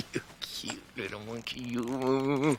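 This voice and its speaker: A man puts on a character voice at a medium pitch with monotone, flat intonation. Background noise is clearly audible. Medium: voice reel. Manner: smug, mocking.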